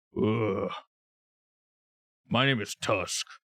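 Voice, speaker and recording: A put-on character voice from a man, raspy and at medium pitch. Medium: actual play. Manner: slow, hesitant.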